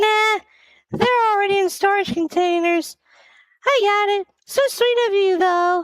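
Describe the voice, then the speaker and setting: A woman uses a put-on character voice, squeaky and extremely high in pitch, at a moderate pace. Her loudness stays very even, broken by long, frequent pauses. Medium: audio drama. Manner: warm, laughing.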